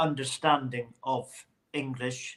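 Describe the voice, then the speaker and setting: A man with a Hebridean accent and fairly even intonation. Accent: Hebridean Scottish. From Scottish Hebrides (South Uist). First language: Scottish Gaelic. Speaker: Gaelic singer. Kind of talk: interview. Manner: halting, repeats words.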